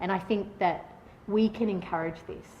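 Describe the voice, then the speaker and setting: In an Australian accent, the speaker keeps a fairly even intonation while audible room echo fills the recording. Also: woman. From Australia, Northern Beaches Sydney. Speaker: patient advocate. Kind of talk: conference talk. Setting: stage with audience. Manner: loud; halting.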